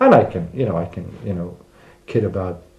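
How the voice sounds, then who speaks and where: A man with an American accent talks at a fairly quick pace in a very deep, low pitch. Noticeable background noise and audible room echo fill the recording. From United States. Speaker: immigrant interviewee. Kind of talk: interview. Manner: hesitant, many fillers.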